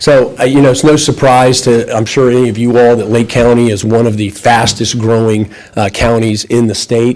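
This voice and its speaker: A man talks at a fairly quick pace with a medium pitch and fairly even intonation. Noticeable background noise is present. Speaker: architect presenting to school board. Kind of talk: formal presentation. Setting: school board meeting, microphone.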